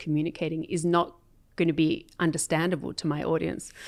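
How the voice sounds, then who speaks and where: A woman with an Australian accent speaks at a fairly quick pace and a fairly low pitch in a very clean recording with a silent background. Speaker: corporate sales enablement leader. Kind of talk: interview.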